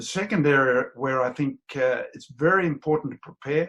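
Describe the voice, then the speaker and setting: Speaking at a moderate pace in an Australian accent, a man has a fairly high pitch and a bright, sharp tone. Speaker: business owner. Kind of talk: business talk to camera.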